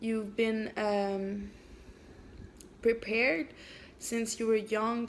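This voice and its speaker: Speaking in a French accent, a woman uses a fairly high pitch. Her pace is very slow. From Canada. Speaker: amateur writer. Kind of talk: reading aloud; casual chat. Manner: halting.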